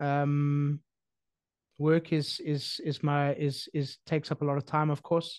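In a dry recording with no echo and a quiet background, a man talks at a fairly slow pace. His loudness stays very even and his intonation is monotone and flat. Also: fairly high pitch for a man. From South Africa. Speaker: podcast host and real estate sales director; podcast host, real estate sales director. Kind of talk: casual chat. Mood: thoughtful, calm. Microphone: studio mic.

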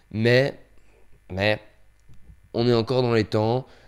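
This man talks at a fairly slow pace. His pitch is medium. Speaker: YouTuber, amateur filmmaker. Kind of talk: casual vlog update. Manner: low energy; hesitant, many fillers.

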